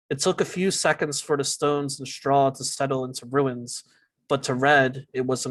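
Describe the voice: The clip is plain reading aloud, with a quiet background.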